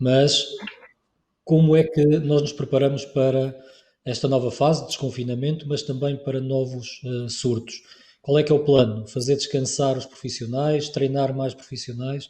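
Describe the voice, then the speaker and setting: Somewhat breathy and dark, mellow in tone, a man speaks with a European Portuguese accent. His medium-pitched delivery is monotone and flat at a moderate pace. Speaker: webinar moderator. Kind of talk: webinar moderation.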